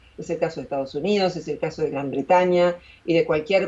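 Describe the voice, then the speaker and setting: A woman's normal speaking voice, fairly low in pitch, at a moderate pace. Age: 60s. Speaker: philosopher and YouTuber. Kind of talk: interview.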